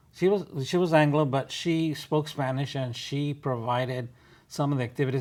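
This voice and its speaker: A man talks at a moderate pace with an American accent. His pitch is fairly high, with ordinary pitch variation. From West Texas. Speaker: retired educator, community volunteer. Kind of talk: interview. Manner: halting.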